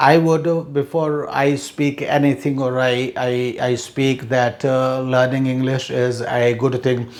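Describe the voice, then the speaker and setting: A man with an Indian accent talks at a fairly slow pace with hardly any pauses, in a medium pitch and a monotone, flat intonation. Audible room echo and noticeable background noise surround his voice. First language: Hindi. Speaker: English teacher. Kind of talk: lecture. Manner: halting, many fillers.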